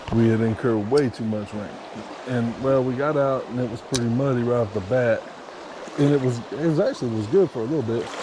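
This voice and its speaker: Very fast mumbling from a man at medium pitch, ordinary pitch variation, audible room echo and noticeable background noise. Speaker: fishing vlogger. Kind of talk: casual outdoor vlog narration. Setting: outdoors by a stream.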